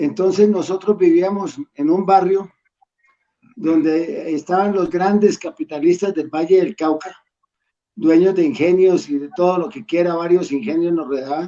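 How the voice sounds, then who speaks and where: The man's voice is high in pitch with ordinary variation. He speaks at a fairly slow pace. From Colombia, Pereira and Cali. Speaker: school alumnus. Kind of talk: casual reminiscing. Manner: halting, many repetitions. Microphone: dropped connection.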